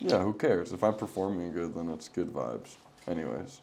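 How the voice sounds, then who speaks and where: Vocal fry runs through a dark, mellow tone at a fairly quick pace, with audible room echo. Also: man. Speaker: podcast host. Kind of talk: casual chat.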